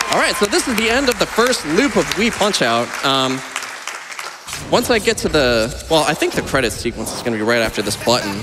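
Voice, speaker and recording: The speaker talks at a moderate pace. Background noise is noticeable. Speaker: speedrunner. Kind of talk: live event commentary while playing. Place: stage. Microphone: headset.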